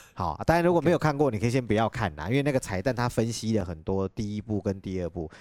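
Speaking very fast with hardly any pauses, a man uses a fairly low pitch and very wide pitch swings, heard in a dry, close sound with no echo. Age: 30s. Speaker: podcast host. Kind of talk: casual chat. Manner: animated.

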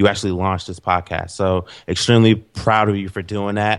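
Recorded very cleanly against a silent background, a man talks at a fairly quick pace in a fairly low voice. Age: 20s. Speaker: branding expert and entrepreneur. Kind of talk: interview. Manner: animated.

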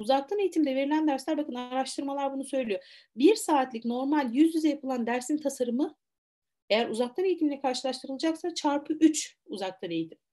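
Against a quiet background, a woman with a high pitch and a dark, mellow tone speaks at a fairly quick pace with lively intonation. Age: 40s. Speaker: university lecturer and teacher trainer. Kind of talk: webinar lecture.

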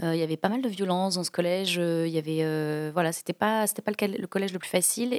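A woman with fairly low pitch and ordinary pitch variation speaks at a very fast pace in a dry, close sound with no echo. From France, Toulouse. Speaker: comedian and corporate trainer. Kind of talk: podcast interview.

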